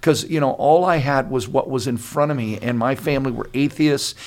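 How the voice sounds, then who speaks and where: At a moderate pace, a man speaks in an ordinary speaking voice with medium pitch and ordinary pitch variation. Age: 60s. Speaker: pastor. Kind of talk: casual chat.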